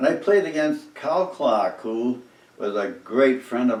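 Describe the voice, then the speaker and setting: There is noticeable background noise as a man speaks with an eastern New England accent. His pitch is medium and his pace fairly slow. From Cape Cod, Massachusetts. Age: 80s+. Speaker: oral history interviewee. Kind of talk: oral history interview storytelling. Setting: living room. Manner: animated.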